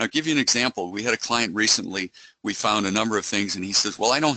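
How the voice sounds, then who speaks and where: Talking at a very fast pace, a man has a medium pitch and a bright, sharp tone. The sound is dry and close with no echo, against a quiet background. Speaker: cybersecurity company executive. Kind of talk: webinar presentation. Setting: online webinar.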